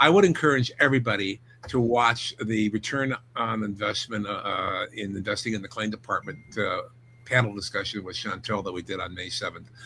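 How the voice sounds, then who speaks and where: The man's tone is bright and sharp. His pitch sits at a medium level with ordinary variation. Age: 70s. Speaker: insurance instructor. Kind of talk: casual chat.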